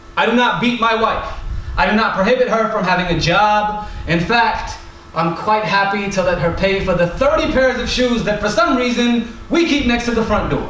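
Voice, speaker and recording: Over noticeable background noise and audible room echo, a high-pitched man speaks at a moderate pace with ordinary pitch variation and very even loudness. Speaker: performance poet. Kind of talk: spoken word poetry performance.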